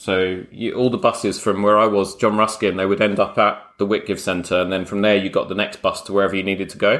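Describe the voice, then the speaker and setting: A man with a London accent, very fast and hardly pausing, fairly low in pitch and flat in a monotone, on a very clean recording with a silent background. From London (Croydon). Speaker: podcast host, bespoke tailor. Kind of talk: casual interview chat.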